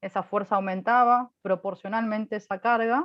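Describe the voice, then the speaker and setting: Fairly even in intonation, a woman speaks in an unremarkable speaking voice. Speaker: physics lecturer. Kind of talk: lecture.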